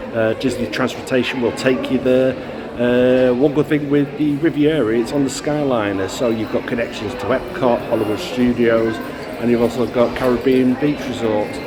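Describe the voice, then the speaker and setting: Against noticeable background noise and audible room echo, a man talks at a moderate pace with fairly even intonation. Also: medium pitch for a man. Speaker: travel vlogger. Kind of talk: casual vlog narration. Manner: soft-spoken.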